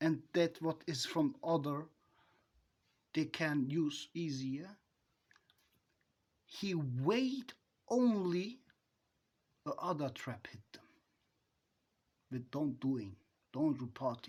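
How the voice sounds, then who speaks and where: At a very slow pace with long, frequent pauses, a man with a non-native accent speaks in a fairly high pitch, his intonation lively and his loudness swinging widely, in a very clean recording with a silent background. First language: not English. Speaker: self-styled advice giver. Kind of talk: monologue. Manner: halting.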